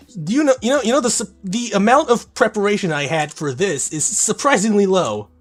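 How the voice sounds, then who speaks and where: A man talks at a fairly quick pace, his pitch swinging very widely. Music plays in the background. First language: Korean. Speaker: gaming streamer. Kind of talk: casual live-stream commentary while gaming.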